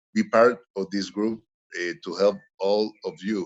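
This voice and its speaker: A speaker with a Spanish accent talks at a fairly slow pace. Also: man. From Honduras. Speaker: webinar panelist. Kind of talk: panel discussion remarks. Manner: halting.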